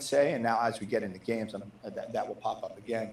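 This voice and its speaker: With audible room echo, a man speaks in an American accent at a fairly quick pace. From New Jersey. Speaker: football position coach. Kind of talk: press conference answers. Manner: fast; repeats words often.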